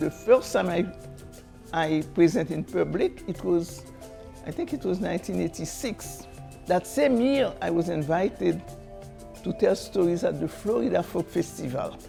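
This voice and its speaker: Against music in the background, a woman talks at a moderate pace with long, frequent pauses. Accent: Haitian. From Haiti. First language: Haitian Creole. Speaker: storyteller and folk artist. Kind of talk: interview answer.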